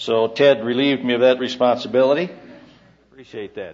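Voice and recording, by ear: At a moderate pace and medium pitch, a man talks with fairly even intonation and a slightly mellow tone.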